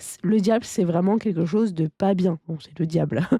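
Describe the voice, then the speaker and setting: A woman talks at a moderate pace in a dark, mellow tone. The recording is very clean and dry, close with no echo, against a silent background. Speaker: tarot card reader. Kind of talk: tarot reading. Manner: hesitant, many fillers.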